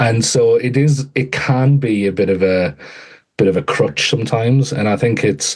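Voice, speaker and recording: A man's medium-pitched voice in an English accent, at a moderate pace, with lively intonation and very even loudness. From England. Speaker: author and education AI strategist. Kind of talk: podcast interview. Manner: halting, frequent repetitions.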